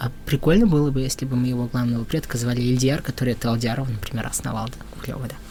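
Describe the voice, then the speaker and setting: With fairly even intonation, a man talks at a very fast pace over noticeable background noise. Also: medium pitch for a man. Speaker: folk musician and folklorist. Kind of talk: podcast interview.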